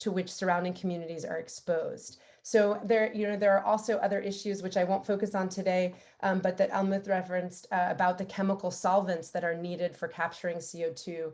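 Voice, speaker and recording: With an American accent, a woman speaks in an unremarkable speaking voice at medium pitch, fairly quickly and with fairly even intonation. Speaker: environmental law advocate. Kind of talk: webinar presentation.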